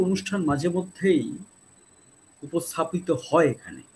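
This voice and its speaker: Over light background noise, a man speaks in a high voice. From Bengal. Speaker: YouTube channel host. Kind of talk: show intro and outro. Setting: live stream. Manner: formal, polite. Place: home room.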